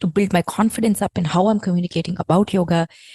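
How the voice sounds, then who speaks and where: A woman's somewhat breathy, dark, mellow voice at a fairly quick pace, dry and close with no echo. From India. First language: not English (Indian language). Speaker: yoga teacher and podcast host. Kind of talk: podcast monologue.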